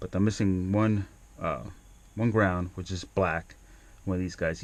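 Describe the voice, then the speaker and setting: Mumbling at a moderate pace with fairly even intonation, on a very clean recording with a silent background. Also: man. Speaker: DIY car repair video maker. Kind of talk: tutorial. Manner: halting, many fillers.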